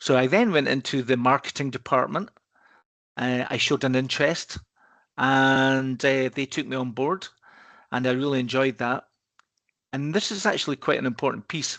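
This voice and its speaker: With a Scottish accent, a man talks in a medium pitch, leaving long, frequent pauses. The sound is dry and close with no echo, and the background is quiet. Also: ordinary pitch variation, moderate pace. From Scotland, Edinburgh. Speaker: risk consultancy partner. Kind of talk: podcast interview. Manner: hesitant, repeats words.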